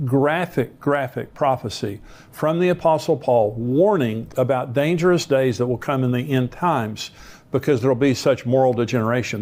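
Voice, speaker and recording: A man with an American accent, a plain, everyday voice, medium pitch and a moderate pace. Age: 60s. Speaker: pastor. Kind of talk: sermon.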